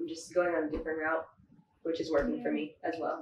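A woman with an American accent, light background noise and audible room echo. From US West Coast (San Fernando Valley, LA); California. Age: 20s. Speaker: baker and business owner; guest. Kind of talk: interview. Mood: friendly, relaxed. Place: home room.

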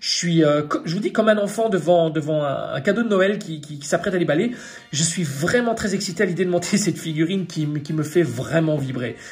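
A man speaks in an animated tone with a high pitch. His pace is fairly quick. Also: ordinary pitch variation. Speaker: toy collector youtuber. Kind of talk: product unboxing tutorial. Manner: fast.

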